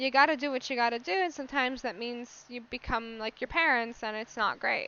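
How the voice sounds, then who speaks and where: At a fairly quick pace, a woman talks in a high pitch with ordinary pitch variation. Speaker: podcast host. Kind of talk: casual monologue. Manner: casual, filler-heavy.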